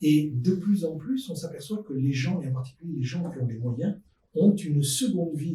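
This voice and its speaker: Dark, mellow tone in a somewhat breathy male voice. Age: 60s. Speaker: podcast guest, futurist expert. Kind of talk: panel discussion.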